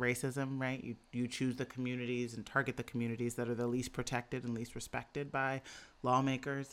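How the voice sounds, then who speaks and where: Recorded very cleanly against a silent background, a woman speaks with a very deep, low pitch. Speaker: policy strategist and author. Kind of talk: interview.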